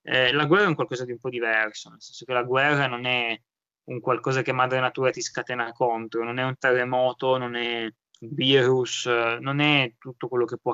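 A man with an ordinary speaking voice, medium pitch, fairly even intonation, and a fairly quick pace. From Italy, of Iranian parents. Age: 20s. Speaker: young doctor. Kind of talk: casual interview.

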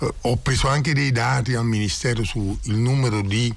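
Medium-pitched male voice with ordinary pitch variation, audible room echo and noticeable background noise. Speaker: community association founder. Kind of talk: radio interview. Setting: studio.

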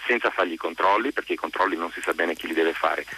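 A man speaks in a dry, close sound with no echo. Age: 50s. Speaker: journalist and writer. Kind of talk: radio interview.

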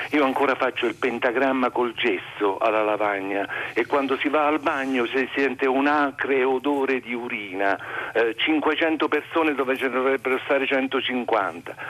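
A man at medium pitch, fairly slow yet with hardly any pauses, very even loudness and ordinary pitch variation. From Molise, Italy. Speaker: music high school teacher, caller. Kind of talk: phone-in call. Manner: animated.

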